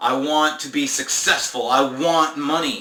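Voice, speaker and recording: A man with a fairly high voice speaks in a room with audible echo and noticeable background noise. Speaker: spiritual self-help vlogger. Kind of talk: casual monologue vlog. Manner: halting with many fillers.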